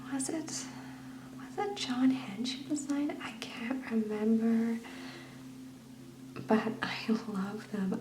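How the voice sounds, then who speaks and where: Soft-spoken and relaxed in tone, the voice moves at a very slow pace. Background noise is noticeable. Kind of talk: soft-spoken ASMR book flip, casual talk. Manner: soft-spoken, relaxed.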